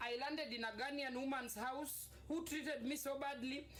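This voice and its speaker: Over audible room echo, a woman with a Kenyan accent speaks at a moderate pace and high pitch. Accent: Kenyan English, code-switching with Swahili. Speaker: vlogger telling her life story. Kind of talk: personal storytelling monologue. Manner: halting, repetitive false starts; animated.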